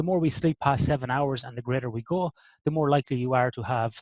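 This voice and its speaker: In an Irish midlands accent, the speaker goes at a very fast pace with ordinary pitch variation, on a very clean recording with a silent background and a dry, close sound with no echo. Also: man. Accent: Irish (Athlone). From Ireland (Athlone). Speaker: sleep and performance researcher. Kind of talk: podcast interview.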